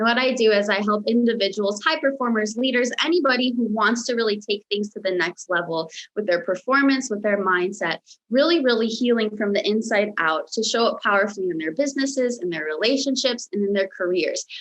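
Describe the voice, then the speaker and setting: Barely pausing, a woman with a General American accent talks at a fairly quick pace and a fairly high pitch with lively intonation. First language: Romanian. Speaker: mindset coach. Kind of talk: interview.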